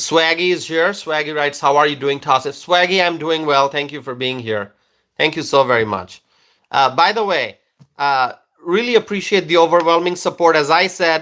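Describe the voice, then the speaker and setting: Speaking at a moderate pace, a man with a Bangladeshi accent has a fairly high pitch, ordinary pitch variation and a bright, sharp tone. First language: Bengali. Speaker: political commentator. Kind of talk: live stream chat. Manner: hesitant, many fillers.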